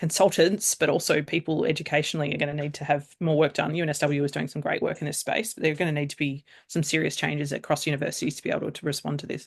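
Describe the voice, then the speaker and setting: In an Australian accent, a woman with a very deep, low pitch speaks at a very fast pace with fairly even intonation against a quiet background. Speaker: AI governance consultant. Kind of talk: casual chat.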